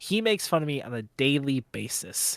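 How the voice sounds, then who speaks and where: With an American accent, a man speaks in an animated tone and lively intonation, recorded very cleanly against a silent background with a dry, close sound and no echo. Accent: slight southern drawl when talking fast. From Michigan, US. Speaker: streamer. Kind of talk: casual chat. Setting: live stream interview.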